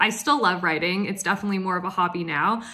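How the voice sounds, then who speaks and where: An upbeat, enthusiastic woman with an American accent at a medium pitch and a fairly quick pace, over a quiet background. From US, Oregon. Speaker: chemical engineer. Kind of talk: Q&A monologue to camera. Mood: cheerful, smiling. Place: home room. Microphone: phone near.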